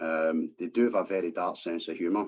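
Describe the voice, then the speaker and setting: Someone with a Scottish accent speaks at a fairly quick pace. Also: man. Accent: Scottish, subtle. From Scotland, East End of Glasgow. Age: 50s. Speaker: former scaffolder, vaccine-injury campaigner. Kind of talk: podcast interview. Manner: hesitant, many fillers.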